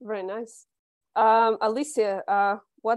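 Against a quiet background, a woman speaks at a fairly high pitch with fairly even intonation in a dry sound with no echo. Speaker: business development director hosting interviews. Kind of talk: casual interview. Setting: video call. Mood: friendly, smiling. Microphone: earbuds.

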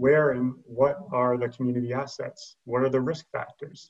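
A man talks at a moderate pace, sounding somewhat breathy. The background is quiet. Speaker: session host, moderator. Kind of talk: webinar introduction. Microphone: video call.

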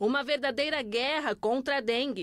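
Her voice sits high, with ordinary pitch variation, as the woman talks at a moderate pace. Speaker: TV reporter. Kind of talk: TV news report voiceover.

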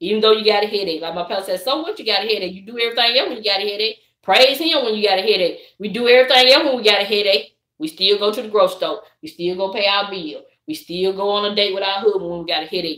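Speaking at a very fast pace, a woman with a Southern US accent shows big swings in loudness. The background is quiet, though room echo is audible. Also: medium pitch for a woman, ordinary pitch variation. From US South. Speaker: YouTuber. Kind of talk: casual chat. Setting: livestream. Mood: animated, preachy encouragement. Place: home room. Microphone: phone near.

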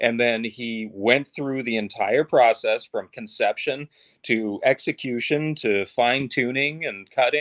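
A man takes a fairly slow pace, with a quiet background behind him. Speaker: actor. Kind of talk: casual interview. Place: home room.

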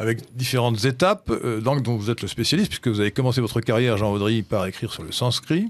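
Against a quiet background, a man talks at a very fast pace. His medium-pitched voice shows ordinary pitch variation. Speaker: radio host. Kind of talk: radio discussion. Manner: halting.

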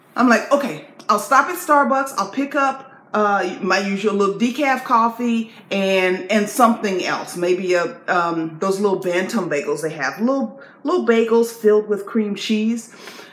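A woman's fairly high voice, animated in tone at a moderate pace, with audible room echo. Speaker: video blogger. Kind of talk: casual chat. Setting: video to camera. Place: home room. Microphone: phone near.

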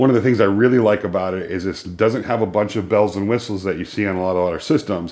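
Over a quiet background, a man with a fairly low voice talks at a very fast pace with ordinary pitch variation. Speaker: woodworking content creator. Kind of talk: tutorial. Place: workshop.

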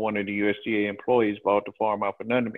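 With a Southern US accent, a man at medium pitch speaks at a fairly quick pace with monotone, flat intonation against a quiet background. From Alabama. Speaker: farmer; guest. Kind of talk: testimony. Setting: video call. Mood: aggrieved, earnest. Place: home room. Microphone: video call.

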